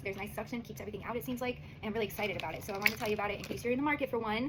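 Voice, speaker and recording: Over noticeable background noise, a woman's fairly high voice, animated in tone and very fast in pace. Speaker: singer-songwriter and visual artist. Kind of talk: casual product review vlog. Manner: soft-spoken.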